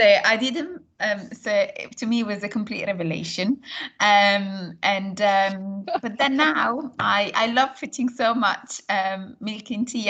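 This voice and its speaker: With an Italian accent, a woman speaks in a bright, sharp tone at a medium pitch with ordinary pitch variation against a quiet background. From northern Italy, near Milan. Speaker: course tutor. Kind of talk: casual chat.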